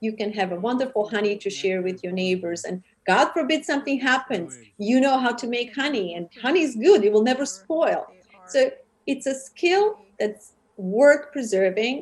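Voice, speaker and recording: A woman speaks at a moderate pace in a high pitch. Her pitch swings very widely. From Serbia. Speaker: TV host and charity founder. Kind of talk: interview. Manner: hesitant, many fillers.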